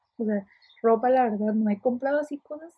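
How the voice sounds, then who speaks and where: Somewhat breathy, a woman talks at a fairly quick pace and fairly high pitch with ordinary pitch variation. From Mexico, Ensenada. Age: 20s. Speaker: podcaster. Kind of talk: casual monologue. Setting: alone in her bedroom. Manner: fast, chatty.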